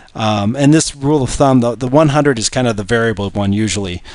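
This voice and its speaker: The man's speech comes at a very fast pace in a medium pitch. His pitch varies in an ordinary way. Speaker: engineer. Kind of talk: screen-recorded spreadsheet tutorial. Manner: hesitant, many filler sounds.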